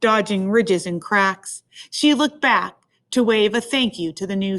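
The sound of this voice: Over a quiet background, someone reads in an unforced reading voice whose pitch varies in an ordinary way.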